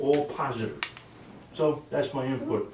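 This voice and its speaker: A man is heard with audible room echo. Noticeable background noise is present too. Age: 70s. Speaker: resident speaking at public meeting. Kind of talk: public comment at village meeting. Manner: halting, repeats words.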